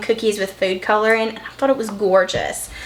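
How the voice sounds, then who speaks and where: A woman speaks in a Southern US accent at a fairly high pitch. Noticeable background noise runs behind her. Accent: Southern country. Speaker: vlogger and online business owner. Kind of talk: casual vlog chat while cooking. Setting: home kitchen. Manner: casual, folksy.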